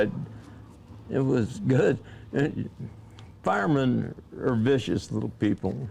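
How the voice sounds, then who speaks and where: At a fairly slow pace, a man speaks at a medium pitch with a dark, mellow tone. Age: 90s. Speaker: drag racing driver and team owner. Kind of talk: interview reminiscing.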